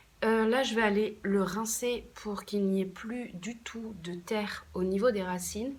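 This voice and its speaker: A woman speaks at a medium pitch with fairly even intonation. Audible room echo is present. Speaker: plant care YouTuber. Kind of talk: casual vlog tutorial. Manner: hesitant, many fillers.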